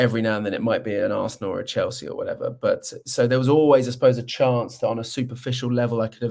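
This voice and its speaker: A man talks at a very fast pace. He has a London accent. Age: 40s. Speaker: presenter and football fan. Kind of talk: podcast interview. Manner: halting.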